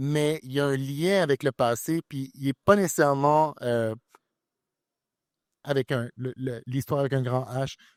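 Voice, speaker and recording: On a very clean recording with a silent background and a dry, close sound with no echo, a man speaks at a fairly slow pace with ordinary pitch variation. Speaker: author, columnist. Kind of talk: literary panel discussion.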